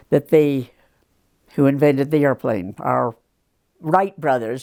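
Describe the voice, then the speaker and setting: A very deep, low female voice at a fairly slow pace with ordinary pitch variation, dry and close with no echo. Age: 90s. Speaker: retired teacher, longtime local resident. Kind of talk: oral history interview. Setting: in her home. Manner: halting.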